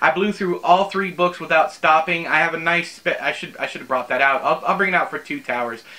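A man's high voice at a fairly quick pace, with ordinary pitch variation and hardly any pauses. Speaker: book reviewer. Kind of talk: casual vlog chat. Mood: amused, mildly exasperated. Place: home room.

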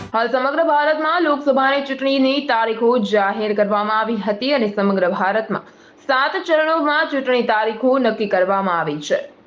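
Lively intonation over noticeable background noise. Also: woman, high pitch for a woman. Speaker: local news reporter. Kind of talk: news report voiceover. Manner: formal.

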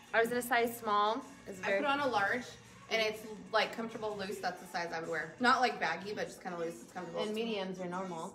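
A woman at a very fast pace with ordinary pitch variation and big swings in loudness, amid noticeable background noise. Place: shop. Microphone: camera far.

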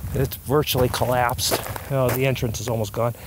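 A man's voice, dry with no echo, over noticeable background noise. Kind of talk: casual vlog commentary. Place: open country. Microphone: phone near.

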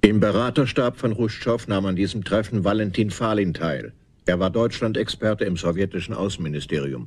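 A man talks at a moderate pace with vocal fry. His pitch varies in an ordinary way. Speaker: documentary narrator. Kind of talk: scripted documentary narration.

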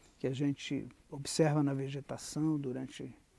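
A man speaks at a very slow pace, his voice dry with no echo. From Rio de Janeiro, Brazil (Jacarepaguá); Rio de Janeiro. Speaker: visual artist and art educator. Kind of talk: interview testimony. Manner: reflective, with frequent hesitations and fillers. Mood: calm, reflective. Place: garden.

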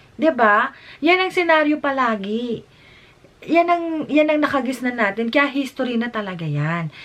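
A woman speaks in an animated tone with a high pitch and very wide pitch swings. Her pace is moderate. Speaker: YouTube vlogger. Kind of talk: reaction vlog commentary.

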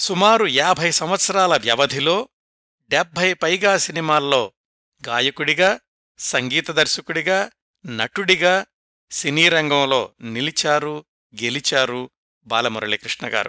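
A man's fairly high voice has a bright, sharp tone, lively intonation and very even loudness, recorded dry and close with no echo, very clean, against a silent background. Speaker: podcast host and biographical storyteller. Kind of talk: scripted narration. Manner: measured, phrase-by-phrase delivery.

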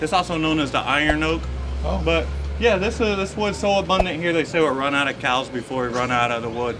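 Over noticeable background noise, a man with an American accent talks at a very fast pace, his medium pitch making very wide swings. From eastern North Carolina. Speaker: pitmaster. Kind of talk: explanatory tour. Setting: outdoors. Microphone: camera far.

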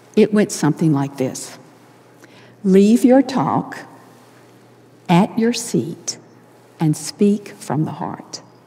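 A woman with an American accent speaks at a very slow pace, leaving long, frequent pauses. Her pitch swings very widely. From US South. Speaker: church leader giving devotional; speaker. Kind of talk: sermon. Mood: earnest, warm. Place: hall. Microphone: lapel.

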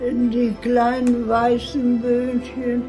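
Music plays clearly behind the voice. The speaker is a woman. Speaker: grandmother testing VR. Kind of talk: casual conversation. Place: home room.

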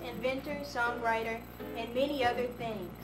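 Clear music sits in the background while a woman speaks at a moderate pace. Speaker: student promoting a product. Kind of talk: product promotion read. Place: home room. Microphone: old recording.

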